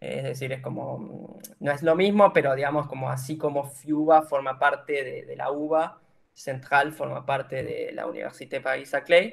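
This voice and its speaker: A man with a fairly high pitch talks at a moderate pace, with hardly any pauses. His intonation stays fairly even, though his loudness swings a lot. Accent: Argentine. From Argentina, General Roca, Río Negro. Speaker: engineering student sharing exchange experience. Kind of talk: informative presentation. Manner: hesitant, many filler sounds.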